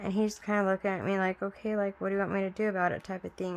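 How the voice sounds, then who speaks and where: A woman with a Southern US accent talks at a very fast pace. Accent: US South. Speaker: craft video creator. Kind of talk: casual chat.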